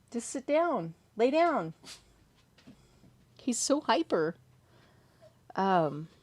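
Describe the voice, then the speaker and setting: A woman's very slow, fairly high-pitched voice with an American accent, long, frequent pauses and very wide pitch swings, on a very clean recording with a silent background. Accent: California accent, noticed by others. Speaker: horror story narrator and livestream host. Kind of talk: casual chat.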